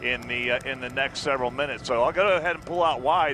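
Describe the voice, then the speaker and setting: A man at a very fast pace, with dry sound, no echo and noticeable background noise. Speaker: helicopter news reporter. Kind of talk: live commentary. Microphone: headset.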